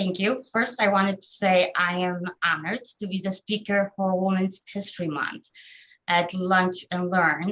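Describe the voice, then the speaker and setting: Fairly even intonation from a woman at a fairly slow pace. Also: medium pitch for a woman. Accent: Polish. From southern Poland. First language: Polish. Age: 30s. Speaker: government office employee. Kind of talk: personal life story talk. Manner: frequent hesitations (um).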